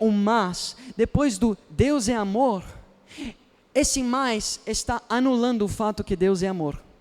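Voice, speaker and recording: With an animated tone and ordinary pitch variation, a man speaks in an extremely high voice. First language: not Portuguese (speaking Portuguese). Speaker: youth pastor. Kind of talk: sermon.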